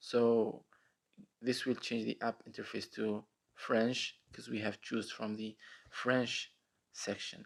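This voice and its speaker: A man with an Arabic accent, medium pitch, a fairly slow pace and monotone, flat intonation. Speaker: tech tutorial youtuber. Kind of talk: screen-recorded app tutorial. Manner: casual with frequent fillers.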